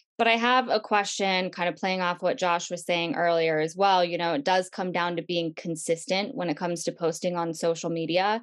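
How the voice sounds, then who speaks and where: Against a quiet background, a woman with a plain, everyday voice talks at a moderate pace, her pitch fairly low and her intonation fairly even. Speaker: webinar host. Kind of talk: live webinar interview. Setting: video call webinar.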